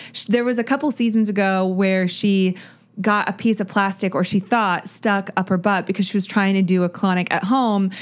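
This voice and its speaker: A woman speaks with a plain, everyday voice at a medium pitch and a fairly quick pace. Her intonation is fairly even, on a very clean recording with a silent background. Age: 30s. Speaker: podcast host. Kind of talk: solo TV recap monologue. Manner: casual, chatty with filler words.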